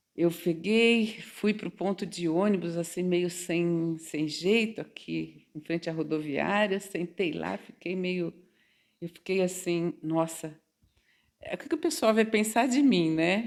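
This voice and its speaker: Delivery is very slow. The pitch shifts in an ordinary way. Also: woman, fairly low pitch for a woman. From Brazil, São Paulo state interior (Quintana). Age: 60s. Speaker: mature psychology student. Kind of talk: interview, personal storytelling. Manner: conversational, hesitant repetitions.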